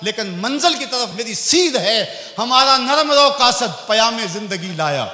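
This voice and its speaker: Against noticeable background noise, a man with an extremely high voice speaks in a passionate, raised and projected tone with lively intonation. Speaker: Islamic preacher. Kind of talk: Islamic sermon / religious lecture. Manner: passionate, emotional, rhetorical.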